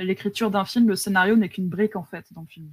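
Somewhat breathy, a woman talks at a fairly quick pace with fairly even intonation in a dry, close sound with no echo. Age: 30s. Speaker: video game scriptwriter. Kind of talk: casual interview. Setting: live stream.

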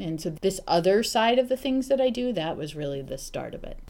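Talking at a fairly quick pace, a woman with a medium pitch shows vocal fry. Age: 40s. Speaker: HR executive. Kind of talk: interview.

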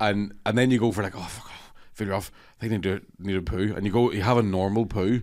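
On a very clean recording with a silent background, a man with a Scottish accent talks at a very fast pace, his fairly low pitch held in fairly even intonation. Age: 30s. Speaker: comedian. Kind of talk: casual chat.

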